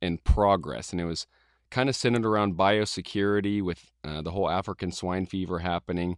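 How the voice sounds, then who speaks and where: Very deep and low, a man's voice sounds dry and close with no echo against a quiet background. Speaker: podcast host and student. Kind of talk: interview; casual chat. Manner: hesitant; enthusiastic.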